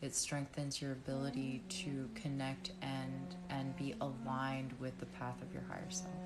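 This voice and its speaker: A woman's calm, soothing tone at a very deep, low pitch with hardly any pauses, over background music and audible room echo. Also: lively intonation, moderate pace. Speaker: reiki practitioner. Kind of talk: live-stream energy healing session. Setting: live stream.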